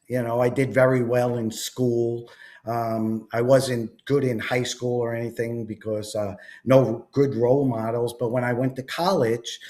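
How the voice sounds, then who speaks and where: With a Long Island accent, a man speaks fairly slowly in a dark, mellow tone at a medium pitch, his intonation monotone and flat. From New York, Long Island and Jersey Shore. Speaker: entrepreneur, network marketer. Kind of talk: interview.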